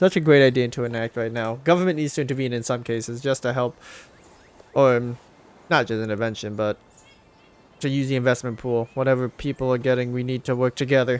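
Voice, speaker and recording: A man speaks at a very fast pace. His speech is broken by long, frequent pauses. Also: medium pitch for a man. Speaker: gaming YouTuber. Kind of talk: let's play commentary. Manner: animated; loud.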